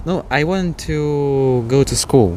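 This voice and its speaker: A man with ordinary pitch variation, over noticeable background noise. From Eastern Europe. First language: Eastern European language. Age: young. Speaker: interview guest. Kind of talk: interview. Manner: halting.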